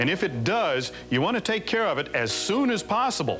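Clear music plays behind a man talking at a fairly quick pace. His pitch swings very widely. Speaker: master car technician. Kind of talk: TV car maintenance advice segment. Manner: stern, no-nonsense. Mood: firm, no-nonsense advice. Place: garage. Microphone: lapel.

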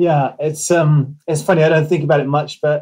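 A man speaks with an English accent. His fairly high voice has a dark, mellow tone. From England, moved around (army family). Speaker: missionary and podcast host. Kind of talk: interview guest, personal testimony.

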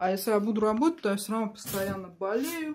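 With light background noise behind her, a woman speaks at a moderate pace in a dark, mellow tone. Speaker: home vlogger. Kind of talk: casual vlog chat. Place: home room. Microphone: phone near.

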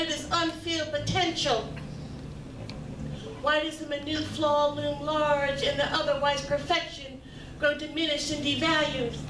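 Against noticeable background noise, the speech comes out monotone with flat intonation. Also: woman. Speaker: featured poet. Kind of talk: spoken word poetry performance. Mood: reflective, earnest. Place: stage.

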